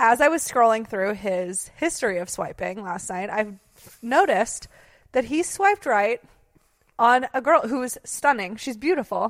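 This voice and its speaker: A woman talks at a moderate speed, her intonation lively. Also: fairly high pitch for a woman. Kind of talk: casual chat.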